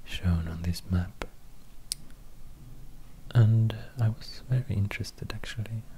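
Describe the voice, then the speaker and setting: Over noticeable background noise, a soft-spoken man with a fairly low pitch speaks at a fairly slow pace with ordinary pitch variation. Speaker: ASMR creator. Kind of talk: casual soft-spoken storytelling. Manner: soft, hushed ASMR talk. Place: home room. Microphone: studio mic.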